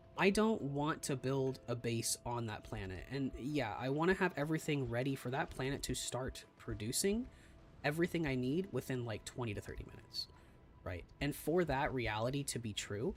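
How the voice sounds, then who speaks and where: A soft-spoken man talks with lively intonation. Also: medium pitch for a man, moderate pace. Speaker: gaming streamer. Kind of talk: live gameplay commentary.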